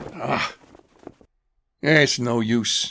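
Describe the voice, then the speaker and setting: A man puts on a raspy character voice. His pitch sits in the middle range. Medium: audio drama. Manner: mumbling, hesitant.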